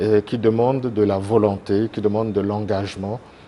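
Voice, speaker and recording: At a very slow pace, a man speaks with a fairly low pitch. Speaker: association president, TV guest. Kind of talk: TV interview. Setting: TV studio. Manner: hesitant, many fillers.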